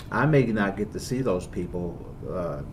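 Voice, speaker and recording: A man's fairly low voice with ordinary pitch variation and audible room echo. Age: 60s. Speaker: bishop. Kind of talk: interview.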